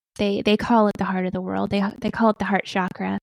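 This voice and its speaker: Soft-spoken, a woman comes across dry and close with no echo. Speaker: spiritual guide and tree communicator. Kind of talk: interview answer.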